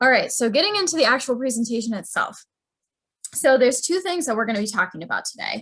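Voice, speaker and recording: Talking very fast, a woman uses a high voice that swings very widely in pitch. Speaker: university career advisor. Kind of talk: presentation. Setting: video call.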